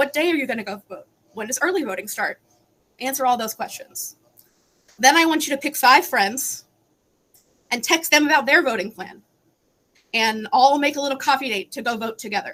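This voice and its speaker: A woman's high, bright, sharp voice at a fairly quick pace, with lively intonation, big swings in loudness, and long, frequent pauses. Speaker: advocacy panelist. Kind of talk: panel discussion. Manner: fast; animated.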